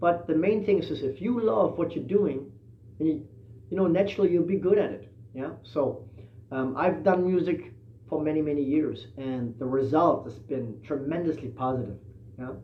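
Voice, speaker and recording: A man talks at a moderate pace and a fairly high pitch. His intonation is lively, and room echo is audible. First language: not English. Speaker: musician and livestream host. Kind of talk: casual livestream talk. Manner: hesitant, many fillers.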